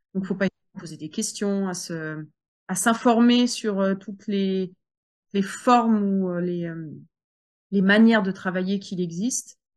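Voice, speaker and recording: A woman at medium pitch with fairly even intonation, over a quiet background. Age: 40s. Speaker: home sales entrepreneur. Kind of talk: interview.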